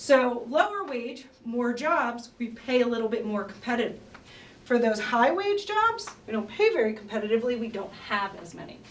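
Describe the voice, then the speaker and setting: Room echo is audible in this recording. Background noise is noticeable too. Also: woman. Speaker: researcher presenting demographics. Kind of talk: conference presentation. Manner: fast.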